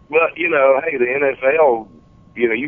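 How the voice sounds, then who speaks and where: A medium-pitched male voice speaks against clearly noticeable background noise. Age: 40s. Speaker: wrestling fan. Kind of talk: casual chat. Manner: animated.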